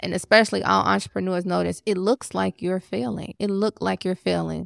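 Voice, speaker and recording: A woman at a moderate pace, dry and close with no echo, on a very clean recording against a silent background. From Chicago, US. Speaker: life coach and podcast host. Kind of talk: motivational podcast monologue. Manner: animated.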